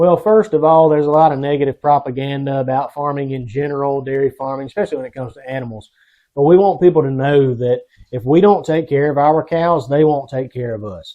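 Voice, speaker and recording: A man talks with a South Carolina accent. He goes at a very fast pace with ordinary pitch variation. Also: fairly high pitch for a man. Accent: Southern US (South Carolina). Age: 30s. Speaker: dairy farmer. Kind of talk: interview. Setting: outdoors on a dairy farm.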